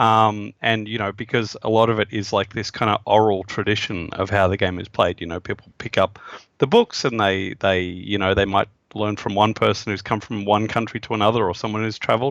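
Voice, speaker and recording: With an Australian accent, a man speaks in a monotone, flat delivery at a fairly low pitch. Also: fairly quick pace. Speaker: game designer. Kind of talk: interview. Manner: halting, many fillers.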